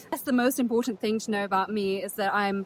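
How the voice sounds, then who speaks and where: A woman's fairly high voice with a British accent, fairly even intonation and noticeable background noise. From England (Yorkshire), from age 8; early childhood in Netherlands. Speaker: travel vlogger. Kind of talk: casual vlog talk to camera. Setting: outdoors on a beach. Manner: casual, chatty.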